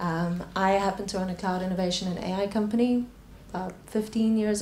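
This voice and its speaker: Her speech is very fast and monotone, with flat intonation at a medium pitch. Noticeable background noise and audible room echo surround this woman. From South Africa. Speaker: panel moderator, tech company founder. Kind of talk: panel discussion.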